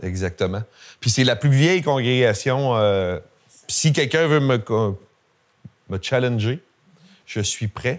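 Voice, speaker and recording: On a very clean recording with a silent background, a man with a Gaspésie accent and medium pitch speaks at a very slow pace, with long, frequent pauses and lively intonation. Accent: Gaspésie Quebec French. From Quebec, Gaspésie (Grande-Vallée). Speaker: historian lecturer. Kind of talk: public lecture with audience questions. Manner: casual, hesitant with fillers.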